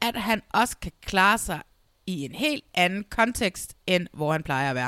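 A woman speaks at a fairly slow pace with very wide pitch swings, in a dry, close sound with no echo. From Denmark, South Zealand (Næstved). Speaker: podcast host. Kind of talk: casual chat. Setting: video call.

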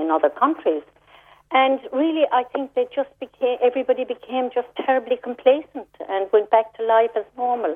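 This is a woman speaking. She has a Cork accent. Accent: Cork Irish. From Ireland, Cork. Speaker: charity founder. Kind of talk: radio interview.

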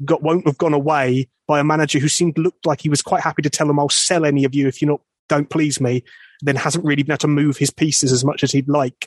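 A man's ordinary speaking voice, fairly high in pitch, with fairly even intonation and a dry, close sound with no echo. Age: 30s. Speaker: football podcast host. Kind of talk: casual chat.

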